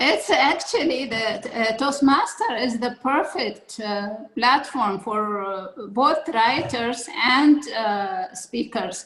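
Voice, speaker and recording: Speaking very slowly in an Arabic accent, a woman uses a high pitch and lively intonation over noticeable background noise. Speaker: public speaking club leader. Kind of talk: interview. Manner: halting, many fillers.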